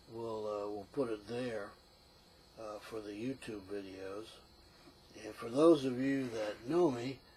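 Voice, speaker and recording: Breathing a little into a dark, mellow voice of medium pitch, a man speaks at a fairly slow pace with long, frequent pauses, big swings in loudness and ordinary pitch variation. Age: 60s. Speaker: retired engineer and veteran vlogger. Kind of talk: casual vlog. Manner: halting, many fillers.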